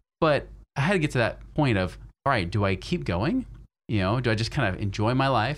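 A man talks at a fairly quick pace in a medium-pitched voice with lively intonation and vocal fry. The recording is very clean, with a silent background. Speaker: financial advisor and podcast host. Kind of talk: interview.

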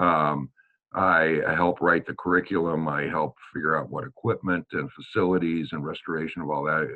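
Speaking at a fairly quick pace with a Midwestern American accent, a man has a very deep, low pitch and fairly even intonation. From US Midwest, Des Moines, Iowa. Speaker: preservationist and teacher. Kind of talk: interview, casual chat.

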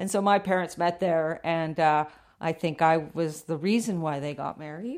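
This woman has an unremarkable speaking voice, fairly low in pitch with ordinary pitch variation, speaking at a moderate pace with a Canadian accent on a very clean recording with a silent background. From western Canada. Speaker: filmmaker and explorer. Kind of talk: interview.

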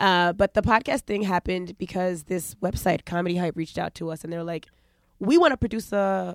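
A woman with a New York accent, medium pitch and ordinary pitch variation, at a moderate pace with big swings in loudness, in a very clean, dry, close recording with no echo and a silent background. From New York, Long Island and Brooklyn. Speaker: comedian and radio host. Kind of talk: casual chat.

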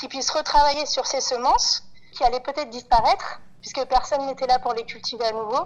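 The woman's voice sits at a high pitch. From Paris, France. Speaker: farming collective co-founder. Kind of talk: interview. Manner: halting, with repeated words.

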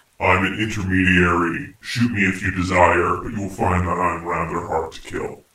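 Putting on a raspy character voice, a man talks at a moderate pace with a very deep, low pitch, hardly any pauses, and a slight echo. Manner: very quick.

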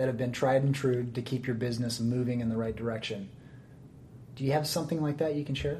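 At a very fast pace, a man speaks at a medium pitch, somewhat breathy, with a dark, mellow tone and fairly even intonation. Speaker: podcast host. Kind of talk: interview, podcast intro.

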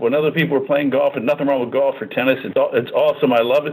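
This is a plain, everyday voice. A man talks at a fairly quick pace with a fairly high pitch and fairly even intonation. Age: 50s. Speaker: real estate team leader. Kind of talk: interview.

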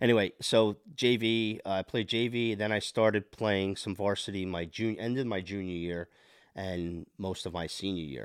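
A man with an American accent speaks in an ordinary speaking voice, pitched fairly low. His pace is moderate and his intonation fairly even, in a very clean recording with a silent background. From New Jersey, Monmouth County. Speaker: podcast guest, parent and hockey player. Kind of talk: casual interview chat.

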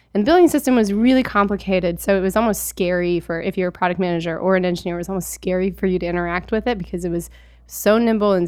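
A woman at a medium pitch on a very clean recording with a silent background. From Alaska. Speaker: product manager. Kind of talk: interview.

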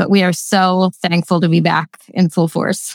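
With a fairly low pitch, a woman talks at a moderate pace in a dry, close sound with no echo. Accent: Pennsylvania. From Lancaster County, Pennsylvania. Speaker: nonprofit executive director. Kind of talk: casual interview.

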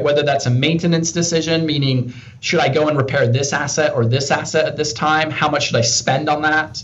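A fairly high-pitched man with an American accent at a fairly quick pace, fairly even intonation, noticeable background noise and audible room echo. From England, Peterborough. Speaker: business development professional in industrial tech. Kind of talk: interview conversation.

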